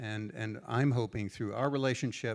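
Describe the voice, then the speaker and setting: With an American accent, a man uses an ordinary speaking voice at medium pitch, moderate pace and ordinary pitch variation, in a very clean recording with a silent background. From United States. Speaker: standards organization leader. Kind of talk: panel discussion.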